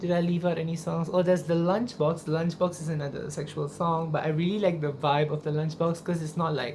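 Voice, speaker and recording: Over music in the background, someone talks at a fairly quick pace with audible room echo. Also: woman, fairly low pitch for a woman, hardly any pauses. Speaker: singer and YouTuber. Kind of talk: casual vlog talk to camera. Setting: at home in own room. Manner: animated.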